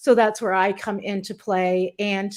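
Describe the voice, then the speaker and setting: In a very clean recording with a silent background, a woman with a Canadian accent has an unremarkable speaking voice at medium pitch. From Canada. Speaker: business strategist. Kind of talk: interview chat.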